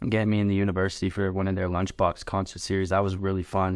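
A man with a Canadian accent and a very deep, low pitch, on a very clean recording with a silent background. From Canada (Lethbridge, Alberta). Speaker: musician. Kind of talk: interview.

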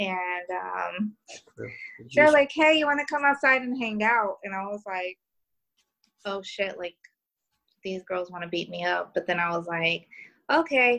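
A woman with an American accent speaks at a fairly slow pace with long, frequent pauses, her tone bright and sharp. Her pitch sits in the medium range but swings very widely. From New York. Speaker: podcast guest.

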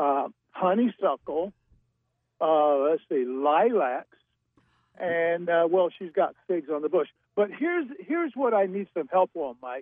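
Speaking at a very slow pace with long, frequent pauses, a man with an American accent uses a high pitch and lively intonation. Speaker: caller. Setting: phone call.

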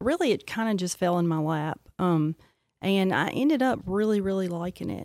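Delivered at a moderate pace with lively intonation, an unremarkable speaking voice comes through dry and close with no echo on a very clean recording with a silent background. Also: woman, medium pitch for a woman. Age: 40s. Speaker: psychiatric nurse practitioner. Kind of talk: casual interview.

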